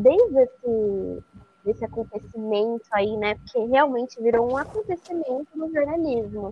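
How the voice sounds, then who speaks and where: Her pitch fairly high and varying in an ordinary way, a woman with a plain, everyday voice talks at a moderate pace. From interior of São Paulo state (Araras). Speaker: magazine journalist. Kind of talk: podcast interview.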